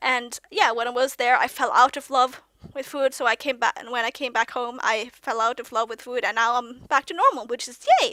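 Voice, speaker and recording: A woman with a Norwegian accent speaks at a high pitch and a moderate pace in a bright, sharp tone. Her voice is raised and projected, and the sound is dry and close with no echo. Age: 20s. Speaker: vlogger. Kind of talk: casual monologue vlog. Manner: halting, many fillers and restarts; youthful-sounding.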